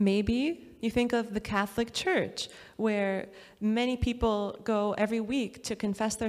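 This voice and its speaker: A woman with an ordinary speaking voice talks at a fairly slow pace, fairly high in pitch, with fairly even intonation. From USA. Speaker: pastor. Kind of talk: sermon.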